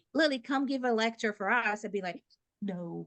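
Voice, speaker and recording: Against a quiet background, the speaker talks at a moderate pace in a Brazilian Portuguese accent with ordinary pitch variation. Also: woman. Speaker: behavior analyst and presenter. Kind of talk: lecture. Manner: loud.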